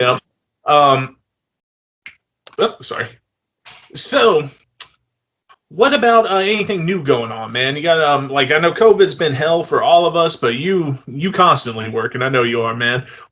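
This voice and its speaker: A man with a Southern accent and a fairly high voice, at a moderate pace with long, frequent pauses. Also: lively intonation. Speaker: film director and interview host. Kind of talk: casual interview chat. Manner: hesitant, filler-heavy.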